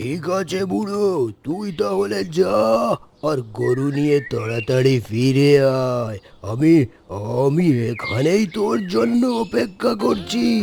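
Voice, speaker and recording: Using a cartoonish character voice, a man speaks at medium pitch and a fairly slow pace. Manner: coarse, gloating, rough address.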